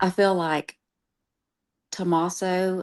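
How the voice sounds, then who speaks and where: Recorded with a dry, close sound and no echo, a woman speaks with a Southern accent in a fairly low voice. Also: quiet background. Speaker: true crime streamer. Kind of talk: casual chat. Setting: live stream.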